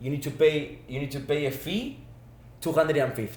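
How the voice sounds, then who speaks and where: Medium pitch from a male speaker, along with audible room echo. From Argentina. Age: 20s. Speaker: former student athlete, business manager. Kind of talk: casual chat.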